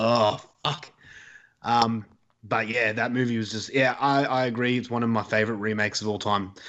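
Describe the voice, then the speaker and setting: A man speaks in an Australian accent at a moderate pace. His intonation is monotone and flat. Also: medium pitch for a man. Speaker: horror podcaster. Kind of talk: casual chat. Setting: remote call.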